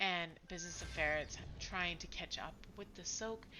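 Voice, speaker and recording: The tone is bright and sharp, with ordinary pitch variation and a fairly slow pace. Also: woman. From Ontario, Canada (Ottawa, Franco-Ontarian). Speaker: esports caster. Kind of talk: live commentary. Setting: live stream. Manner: animated.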